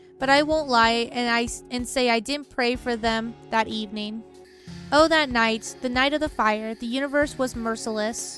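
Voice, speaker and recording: With music in the background, a woman speaks at a fairly high pitch with fairly even intonation. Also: moderate pace. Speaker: streamer reading game dialogue aloud. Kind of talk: live stream game dialogue reading with commentary.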